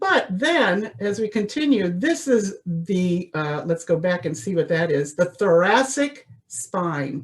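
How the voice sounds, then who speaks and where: A woman at a fairly slow pace, her pitch swinging very widely. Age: 60s. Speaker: voice teacher. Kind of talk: lecture. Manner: animated.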